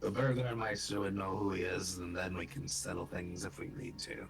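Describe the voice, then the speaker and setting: A man uses a put-on character voice, raspy and very deep, at a moderate pace. Clear background noise is present. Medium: actual play. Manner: inquisitive, matter-of-fact.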